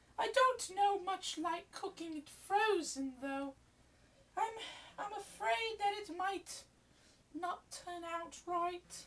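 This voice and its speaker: Using a put-on character voice at an extremely high pitch, a woman speaks at a very slow pace with long, frequent pauses, lively intonation and big swings in loudness. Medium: audio drama. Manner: fussing, calls everyone darling.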